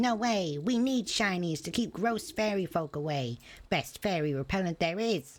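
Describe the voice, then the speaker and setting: A put-on character voice, female-sounding and cackling at a medium pitch, on a very clean recording with a silent background. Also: moderate pace. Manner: defiant, gloating.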